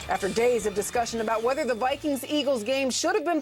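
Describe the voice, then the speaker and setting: Over music in the background, a woman talks at a fairly quick pace with a high pitch. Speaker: sports broadcaster. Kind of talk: studio sports show co-host banter.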